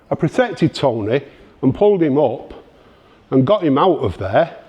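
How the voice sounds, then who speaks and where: Talking at a moderate pace, a man with a Manchester accent uses a fairly high pitch and very wide pitch swings. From northern England, Denton, Greater Manchester. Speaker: punk scene speaker. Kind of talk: talk to an audience. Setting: library exhibition event with audience. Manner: halting, many repetitions.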